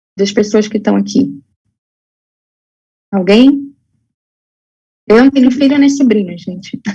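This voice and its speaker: A woman with a somewhat breathy, dark, mellow tone and fairly high pitch speaks at a fairly slow pace, with ordinary pitch variation and long, frequent pauses. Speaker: health educator. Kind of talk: lecture. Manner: halting, many fillers.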